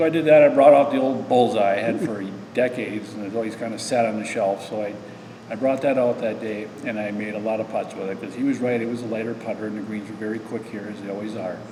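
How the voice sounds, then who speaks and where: Someone with an American accent talks at a very fast pace with fairly even intonation, in audible room echo with noticeable background noise. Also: man, medium pitch for a man. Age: 60s. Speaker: amateur golfer. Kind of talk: interview. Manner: halting.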